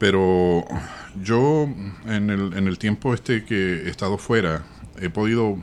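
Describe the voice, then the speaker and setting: A fairly low male voice, its pitch varying in an ordinary way. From Chile. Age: 60s. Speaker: journalist. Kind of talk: interview. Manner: hesitant with fillers.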